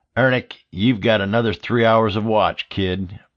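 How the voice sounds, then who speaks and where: Putting on a character voice, a man sounds raspy at medium pitch, speaking at a moderate pace with fairly even intonation. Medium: read story. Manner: blunt, gruff.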